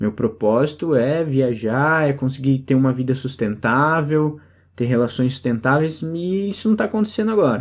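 This man has a plain, everyday voice with fairly high pitch and ordinary pitch variation. He speaks at a moderate pace on a very clean recording with a silent background. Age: 30s. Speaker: podcast host. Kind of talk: solo reflective monologue.

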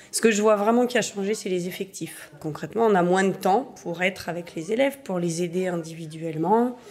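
Quite quick and with hardly any pauses, a woman speaks in an ordinary speaking voice at medium pitch with ordinary pitch variation. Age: 40s. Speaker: primary school teacher. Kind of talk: documentary interview testimony.

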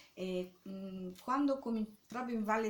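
A woman speaks at a fairly slow pace. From Rome, Italy. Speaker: artist. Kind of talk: interview. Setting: artist's studio. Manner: halting.

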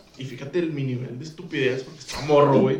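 A man talks in an animated tone with a Mexican accent. Noticeable background noise and audible room echo fill the recording. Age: 20s. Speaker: podcast co-host. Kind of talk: casual chat. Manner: animated, laughing often.

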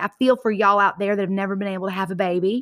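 On a very clean recording with a silent background, a woman with an American accent talks very fast in an animated, bright and sharp tone. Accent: Southern US, slight, comes out occasionally. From US South, Georgia. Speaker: podcast host, motivational speaker. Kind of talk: motivational talk.

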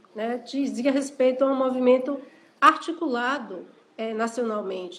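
A woman speaks at a high pitch and a fairly slow pace. Her intonation stays fairly even. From Brazil, Salvador, Bahia. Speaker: historian and university professor. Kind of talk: interview on an Instagram live. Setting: Instagram live video call.

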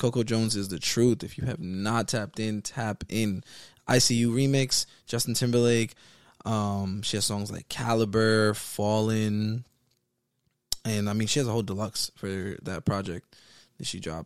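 This man has a plain, everyday voice, speaking at a moderate pace with fairly even intonation. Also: fairly low pitch for a man, very clean recording, silent background. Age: 20s. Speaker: podcast co-host. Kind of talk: casual chat.

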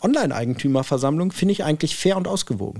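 The voice has a dark, mellow tone and lively intonation. The recording is very clean, with a silent background. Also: man. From Hanover, northern Germany. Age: 40s. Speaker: property management executive. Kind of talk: casual interview.

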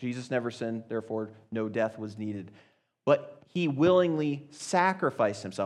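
Using a plain, everyday voice, a man talks at a fairly slow pace with lively intonation. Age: 30s. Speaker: youth speaker. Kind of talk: sermon.

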